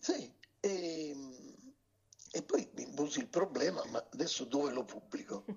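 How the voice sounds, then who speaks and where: Slow-ish and broken by long, frequent pauses, a man's high voice moves through very wide pitch swings at a fairly slow pace. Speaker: former TV network director and politician. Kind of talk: interview. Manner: halting.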